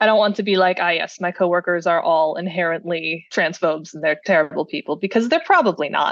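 A woman with an American accent at a very fast pace, her pitch fairly low, music in the background. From US Midwest, Cleveland, Ohio. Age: 20s. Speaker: software engineer, podcast listener. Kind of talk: casual interview.

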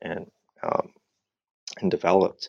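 A man at a moderate pace in a dry, close sound with no echo. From Southern California, La Habra in Orange County. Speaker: history professor and author. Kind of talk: interview. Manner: halting, many fillers and repeated words.

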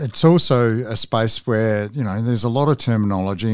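Over a silent background in a very clean recording, a man uses an ordinary speaking voice at fairly low pitch, moderate pace and ordinary pitch variation. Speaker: podcast interviewer. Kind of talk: interview.

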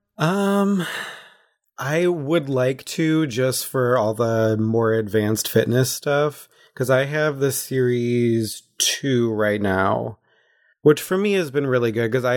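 A man with a Wisconsin accent, very even loudness and ordinary pitch variation, in a very clean recording against a silent background. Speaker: recurring guest, grew up on dairy farm. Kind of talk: casual chat.

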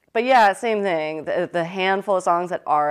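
A woman speaks in an unremarkable speaking voice at a fairly quick pace. Her pitch is fairly low, with ordinary variation. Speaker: fashion designer and illustrator, business founder. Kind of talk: casual interview chat.

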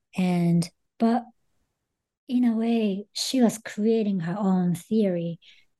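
Slow and with ordinary pitch variation, a woman speaks in a dark, mellow tone. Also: medium pitch for a woman.

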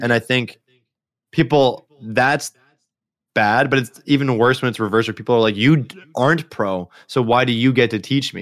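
A man's medium-pitched, normal speaking voice at a moderate pace with ordinary pitch variation, in a very clean recording with a silent background. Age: 20s. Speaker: streamer and engineer. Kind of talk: casual chat.

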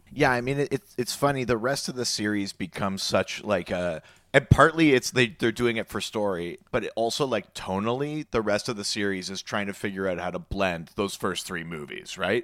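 At a moderate pace and with hardly any pauses, a man uses a normal speaking voice, fairly low in pitch, with lively intonation. The sound is dry and close with no echo, on a very clean recording with a silent background. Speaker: podcast host guest. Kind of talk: casual chat.

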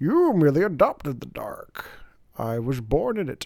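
A man performs a put-on character voice at a moderate pace. His loudness swings widely. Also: fairly high pitch for a man. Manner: menacing.

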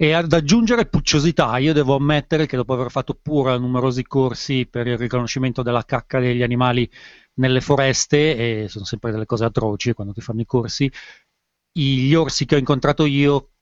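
In an unremarkable speaking voice, a man talks at a medium pitch and a fairly quick pace with ordinary pitch variation. The sound is dry and close with no echo, over a quiet background. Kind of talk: casual chat.

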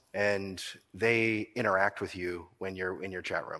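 A man with a Maritime Canadian accent talks at a moderate pace, his pitch fairly low with ordinary variation and his tone bright and sharp. The recording is very clean, with a silent background. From Nova Scotia, Canada. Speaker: accounting firm owner, keynote speaker. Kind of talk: conference keynote talk. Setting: stage with audience. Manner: animated.

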